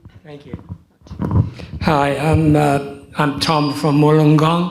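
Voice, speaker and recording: The delivery is very slow and monotone, with flat intonation. Room echo can be heard. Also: man, fairly high pitch for a man. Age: 70s. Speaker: audience member. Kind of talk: audience question.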